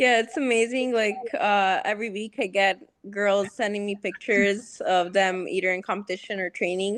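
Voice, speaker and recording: The speaker has a slight non-native accent. The background is quiet. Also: woman, medium pitch for a woman, ordinary pitch variation, moderate pace. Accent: slight foreign. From US, Las Vegas (Serbian parents). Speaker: jiu-jitsu competitor. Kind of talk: interview. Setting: video call. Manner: reserved.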